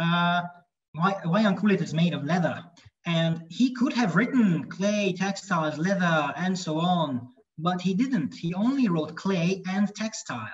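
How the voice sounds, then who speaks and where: Over a quiet background, a man with a Hungarian accent speaks at a fairly slow pace in a high pitch. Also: ordinary pitch variation. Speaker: lecturer. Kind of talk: lecture; Q&A answers. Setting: video call. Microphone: video call.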